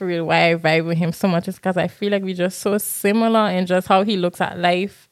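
A woman talks at a fairly quick pace in an animated tone, in a very clean recording with a silent background. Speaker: podcast co-host and high school English teacher. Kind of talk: casual chat. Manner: animated, laughing.

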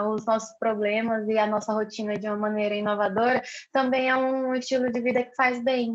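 Monotone, flat intonation at a moderate pace. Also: woman. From Brazil, Rio Branco, Acre. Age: 20s. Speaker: missionary and psychologist. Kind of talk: casual interview conversation.

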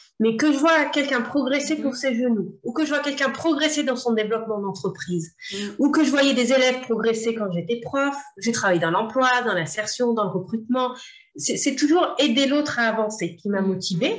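A woman speaks at a moderate pace with a fairly high pitch and lively intonation. Audible room echo surrounds her voice. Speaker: entrepreneur, former sports teacher. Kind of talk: interview. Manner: energetic.

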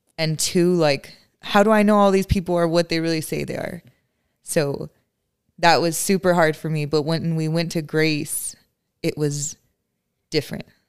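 A woman's fairly low voice at a moderate pace, broken by long, frequent pauses, in a very clean recording with a silent background. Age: 20s. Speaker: church member sharing testimony. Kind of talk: casual chat.

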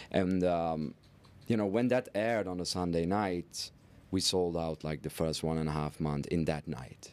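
With a Dutch accent, a man speaks at a moderate pace in a very deep, low pitch, his pitch varying in an ordinary way. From Netherlands. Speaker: entrepreneur and philanthropist. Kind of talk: interview.

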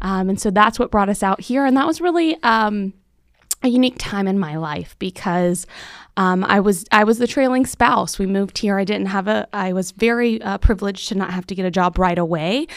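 A woman with an American accent has a plain, everyday voice at medium pitch. She talks at a fairly quick pace with ordinary pitch variation on a very clean recording with a silent background. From Central Florida. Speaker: chamber of commerce CEO. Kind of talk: interview conversation. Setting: studio.

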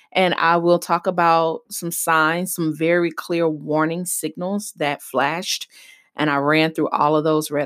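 This woman has a plain, everyday voice with a fairly low pitch, speaking at a moderate pace. The recording is very clean, with a silent background. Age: 30s. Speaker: podcast host and business coach. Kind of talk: solo podcast monologue.

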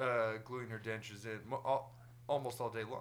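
His pitch is medium and his pace moderate. The man uses a normal speaking voice. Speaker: podcast host. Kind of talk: casual chat.

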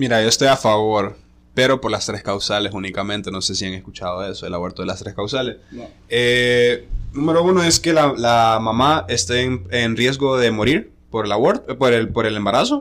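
With a plain, everyday voice, a man speaks at a moderate pace and a medium pitch, using ordinary pitch variation. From Honduras, La Ceiba (north coast). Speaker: DJ. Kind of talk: casual chat. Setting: hotel room.

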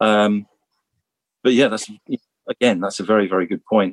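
The sound is dry and close, with no echo. A man speaks in a fairly low pitch with monotone, flat intonation. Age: 50s. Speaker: ex-professional cyclist and team manager. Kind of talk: interview conversation. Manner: halting, many fillers and repetitions.

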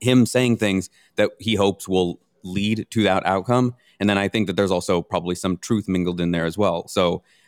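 A man with a normal speaking voice talks at a fairly quick pace in a fairly low pitch and fairly even intonation. The sound is dry and close with no echo, and the recording is very clean with a silent background. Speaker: bitcoin commentator. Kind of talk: casual panel discussion. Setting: live at a conference.

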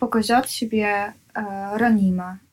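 A woman speaks with a Dutch accent. Her pitch sits fairly high. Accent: Dutch, foreign accent in Russian. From Netherlands. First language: Dutch (speaking Russian). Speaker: artist. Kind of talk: interview. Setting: at home. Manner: halting.

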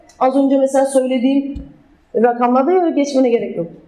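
Against noticeable background noise, a woman talks at a moderate pace in a high pitch. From southern Turkey, Adana. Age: 20s. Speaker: former handball player, talk speaker. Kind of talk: public talk with slides.

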